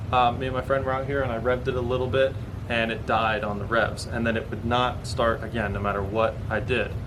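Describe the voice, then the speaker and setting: With audible room echo and noticeable background noise, a man talks at a fairly quick pace in a monotone, flat intonation. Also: medium pitch for a man. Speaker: automotive YouTuber. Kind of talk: vlog explanation. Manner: fast; halting with self-corrections.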